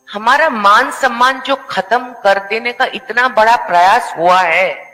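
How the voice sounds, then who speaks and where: Over music in the background, a woman with a non-native accent speaks at a fairly high pitch with lively intonation. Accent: non-native Hindi. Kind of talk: talk show discussion. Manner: halting, repetitive.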